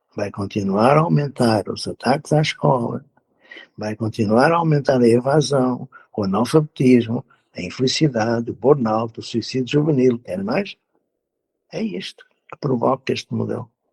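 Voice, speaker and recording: With big swings in loudness, a somewhat breathy man speaks at a moderate pace and a medium pitch, with ordinary pitch variation, in a dry, close sound with no echo. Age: 70s. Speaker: educator. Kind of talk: interview.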